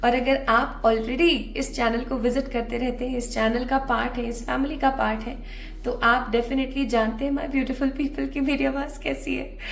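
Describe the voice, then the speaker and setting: A high-pitched woman's voice in a monotone, flat intonation with hardly any pauses, plus audible room echo and noticeable background noise. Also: moderate pace. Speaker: tarot reader. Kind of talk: tarot reading to camera. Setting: early morning recording at home. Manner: casual, chatty.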